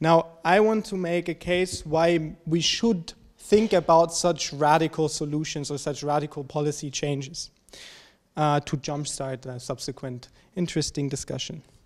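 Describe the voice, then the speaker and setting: This man has a German accent and a fairly high pitch. He speaks at a moderate pace with ordinary pitch variation over a quiet background. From Germany. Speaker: graduate student discussant. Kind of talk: presentation. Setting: seminar with audience. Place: hall. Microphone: handheld.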